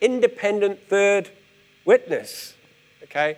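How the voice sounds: The intonation is lively. The pace is slow. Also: man.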